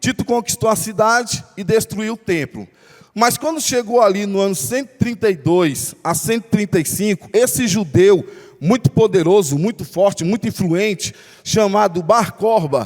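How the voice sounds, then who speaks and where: Man with a high pitch, lively intonation and a moderate pace. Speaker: pastor. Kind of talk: bible study sermon.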